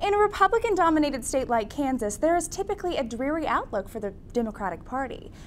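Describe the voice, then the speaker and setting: The speech moves at a very fast pace with very wide pitch swings. There is light background noise. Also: woman. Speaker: news anchor. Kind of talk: news reading. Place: studio. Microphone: lapel.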